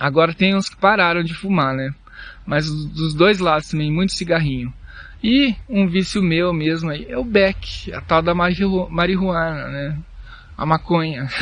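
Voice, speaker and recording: In a high voice with ordinary pitch variation, a man speaks at a fairly slow pace, his loudness swinging widely. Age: 30s. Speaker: podcaster and YouTuber. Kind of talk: casual monologue. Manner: halting.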